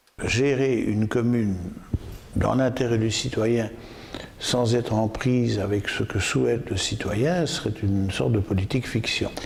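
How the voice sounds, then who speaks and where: Over noticeable background noise, a man speaks at a fairly slow pace and medium pitch. His loudness is very even and his pitch variation ordinary. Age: 70s. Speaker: mayor. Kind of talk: interview answer.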